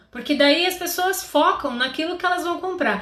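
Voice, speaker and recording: There is audible echo from the room as a woman talks. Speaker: confectionery business coach. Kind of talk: live stream tutorial. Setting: live stream.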